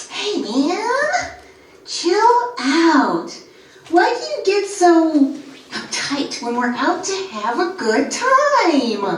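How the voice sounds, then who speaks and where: In a put-on character voice with an extremely high pitch, the speaker moves through very wide pitch swings at a very slow pace, with a slight echo. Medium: stage play. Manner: taunting, familiar.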